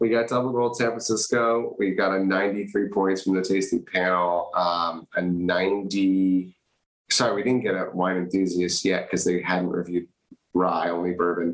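In an American accent, a man speaks at a moderate pace with a very deep, low pitch. His loudness is very even, and his intonation is fairly even. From California. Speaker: whiskey brand founder. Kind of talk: casual chat.

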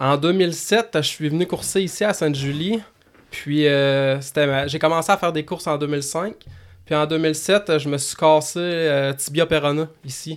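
With a plain, everyday voice, a man talks at a fairly slow pace. His pitch is fairly high, and his intonation stays fairly even. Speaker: motocross track owner and racer. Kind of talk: casual chat. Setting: studio.

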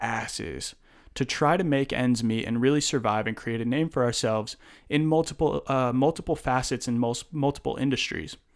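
A man has an unremarkable speaking voice at medium pitch. He keeps a moderate pace with ordinary pitch variation. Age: 20s. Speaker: podcast host. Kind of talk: casual chat.

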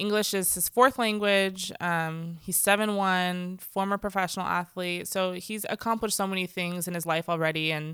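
A woman's ordinary speaking voice at medium pitch, fairly even in intonation and moderate in pace, on a very clean recording with a silent background. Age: 30s. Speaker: guest, mom and worker. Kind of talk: casual conversation.

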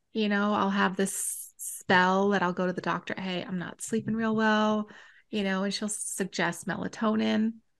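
Over a quiet background, a woman with an ordinary speaking voice talks at a fairly slow pace and medium pitch, with fairly even intonation. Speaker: podcast co-host. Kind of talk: casual chat.

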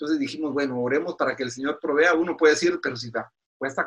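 This man's voice sits fairly high. His pitch holds fairly level throughout. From Guatemala. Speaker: pastor. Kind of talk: interview. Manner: halting.

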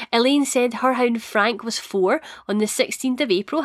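Speaking at a moderate pace with lively intonation, a woman with a Scottish accent uses a fairly high pitch on a very clean recording with a silent background and a dry, close sound with no echo. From Scotland. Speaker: podcast host. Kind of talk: solo podcast chat.

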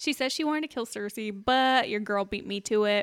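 Recorded very cleanly with a silent background, a woman speaks at a fairly quick pace. She has a normal speaking voice at medium pitch. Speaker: podcast co-host. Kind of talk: casual chat.

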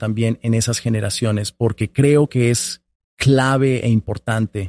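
A man speaks at a fairly slow pace in a dark, mellow tone with ordinary pitch variation, the sound dry and close with no echo. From Colombia, small town. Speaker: public affairs director at a nonprofit. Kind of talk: interview conversation.

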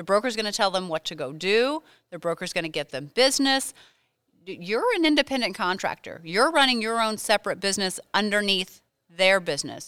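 Bright and sharp, a woman's medium-pitched voice swings very widely in pitch. She speaks at a fairly quick pace, and the sound is dry and close with no echo. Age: 40s. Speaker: real estate broker. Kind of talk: interview.

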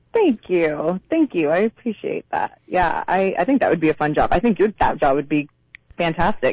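A woman is speaking. She goes at a fairly quick pace. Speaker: actress. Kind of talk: interview. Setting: phone call.

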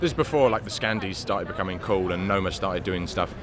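A man with a London accent and a fairly low pitch, talking at a very fast pace over noticeable background noise. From London, Hackney. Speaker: chef. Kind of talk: interview. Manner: halting.

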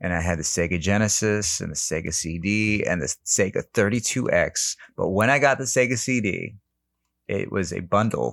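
Over a quiet background, a man in a normal speaking voice with a fairly low pitch and ordinary pitch variation speaks at a moderate pace. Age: 40s. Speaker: improv comedian and actor. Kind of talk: casual chat.

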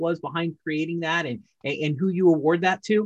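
This man's pace is moderate. His pitch sits high. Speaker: podcast host. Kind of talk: interview, conversational.

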